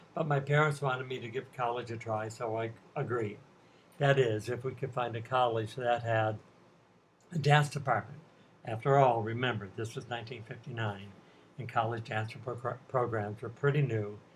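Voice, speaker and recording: At a moderate pace, a man talks with a medium pitch, a somewhat breathy quality and fairly even intonation. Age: 70s. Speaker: retired ballet dancer and teacher. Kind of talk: prepared talk to students. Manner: formal.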